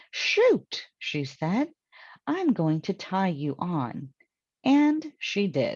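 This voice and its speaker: A somewhat breathy woman with an American accent, at medium pitch, very slow, with very wide pitch swings. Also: quiet background. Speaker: English teacher. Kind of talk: children's story read-aloud.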